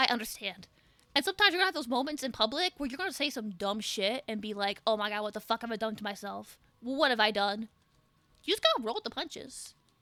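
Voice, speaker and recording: A woman talks very fast in a fairly high, bright, sharp voice with lively intonation and an animated tone. The recording is dry and close with no echo. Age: 20s. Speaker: VTuber streamer. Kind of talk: casual live stream chat.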